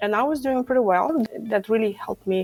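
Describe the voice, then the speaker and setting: Noticeable background noise sits behind a woman with a Lithuanian accent. She speaks at a fairly quick pace with lively intonation. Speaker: stress management coach. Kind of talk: podcast interview.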